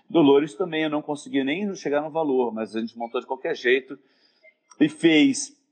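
An ordinary speaking voice, this man talks at a moderate pace with a fairly high pitch. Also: ordinary pitch variation. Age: 50s. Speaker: actor and theatre director. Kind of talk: casual interview chat. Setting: Instagram live video call.

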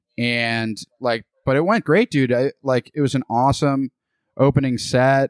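Here a man speaks with an unremarkable speaking voice at medium pitch, with fairly even intonation and very even loudness. The recording is very clean, with a silent background. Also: fairly slow pace, dry, close sound with no echo. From Boston area, Massachusetts. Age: 20s. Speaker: stand-up comedian. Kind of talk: casual chat.

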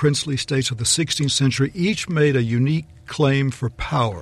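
Ordinary pitch variation in a somewhat breathy voice. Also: man. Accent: Texan. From Texas. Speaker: law professor. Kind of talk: panel discussion. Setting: studio.

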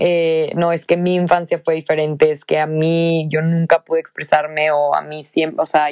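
A woman with a very deep, low pitch, monotone, flat intonation and a fairly slow pace, in a dry, close sound with no echo. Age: 20s. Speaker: podcast host. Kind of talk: solo monologue. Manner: halting.

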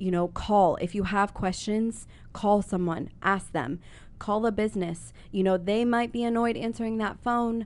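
In a quiet setting, a woman speaks with an American accent at a moderate pace. Her medium-pitched voice keeps a fairly even intonation. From Columbus, Ohio, US. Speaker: bookshop owner. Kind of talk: interview. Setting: studio. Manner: hesitant, many fillers.

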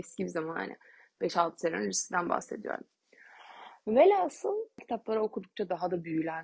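Speaking at a moderate pace in an animated tone, a woman leaves long, frequent pauses. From Turkey, Bursa. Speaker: doula and podcaster. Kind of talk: solo podcast monologue. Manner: animated, laughing often.

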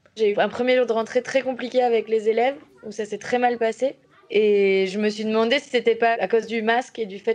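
A woman's fairly high voice at a fairly quick pace, with fairly even intonation and noticeable background noise. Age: 30s. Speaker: primary school teacher. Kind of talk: documentary interview testimony.

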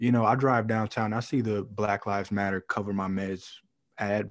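A man has an ordinary speaking voice with a fairly low pitch and fairly even intonation. He talks at a moderate pace in a very clean recording with a silent background. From Canton, Ohio. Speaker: podcast co-host. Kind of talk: casual chat.

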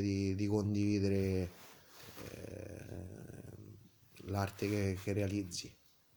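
A man's fairly low, dark, mellow voice at a very slow pace, monotone and flat in intonation. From Italy, Tivoli (Lazio). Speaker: sculptor and painter. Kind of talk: interview. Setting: artist's studio. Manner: halting, many hesitations.

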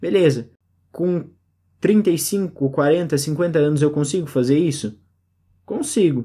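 A man's voice carries a dark, mellow tone on a very clean recording where the background is silent. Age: 30s. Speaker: podcast host. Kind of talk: solo reflective monologue.

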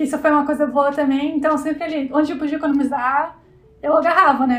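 A woman talks at a very fast pace in a high pitch. Her intonation is monotone and flat. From southern Brazil, Santa Catarina. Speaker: fashion illustrator. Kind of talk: casual interview chat.

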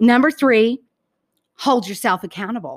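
A raised, projected voice with a bright, sharp, animated tone comes at a moderate pace. The recording is very clean with a silent background. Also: woman. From US South, Georgia. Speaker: podcast host, motivational speaker. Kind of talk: motivational talk.

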